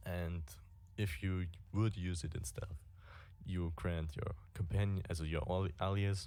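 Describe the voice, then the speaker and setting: A man with a non-native accent speaks in a very deep, low voice with a dark, mellow tone, at a fairly slow pace with long, frequent pauses and fairly even intonation. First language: not English. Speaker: gaming streamer. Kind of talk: game guide tutorial. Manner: halting.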